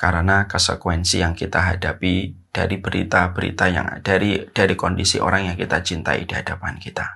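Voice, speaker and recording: With hardly any pauses, a man talks at a fairly quick pace in a very deep, low voice, his tone bright and sharp, his intonation monotone and flat, over a quiet background. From Indonesia. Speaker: Islamic preacher; religious teacher. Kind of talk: religious lecture. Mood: earnest, calm, gentle. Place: home room. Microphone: lapel.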